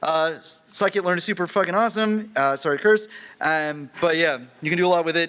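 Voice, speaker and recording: A man's high-pitched voice carries an animated tone and ordinary pitch variation. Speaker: conference lightning talk speaker. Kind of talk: lightning talk. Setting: stage with audience. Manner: fast; casual, animated.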